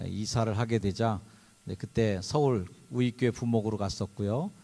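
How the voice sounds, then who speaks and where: A man at a moderate pace. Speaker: pastor. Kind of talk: sermon. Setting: chapel service with audience.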